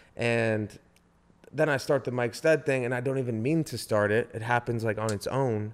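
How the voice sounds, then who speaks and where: In a plain, everyday voice, a man talks at a moderate pace with medium pitch and fairly even intonation. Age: 30s. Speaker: musician and entrepreneur. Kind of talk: casual chat.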